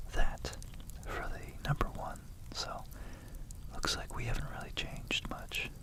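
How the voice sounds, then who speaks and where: A man whispers over noticeable background noise. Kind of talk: ASMR educational whisper lesson. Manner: whispered.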